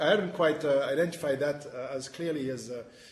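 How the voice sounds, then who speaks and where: With noticeable background noise and audible room echo, a man in a French accent speaks fairly quickly at a fairly high pitch with ordinary pitch variation. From France. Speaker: webinar moderator, financial reporting specialist. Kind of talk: panel discussion. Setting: webinar video conference. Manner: halting, many fillers.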